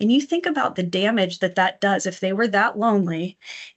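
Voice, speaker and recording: A woman's ordinary speaking voice at medium pitch, with ordinary pitch variation. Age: 50s. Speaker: mental health nonprofit outreach coordinator. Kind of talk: educational presentation. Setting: livestream fundraiser. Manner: casual, with frequent fillers and self-corrections.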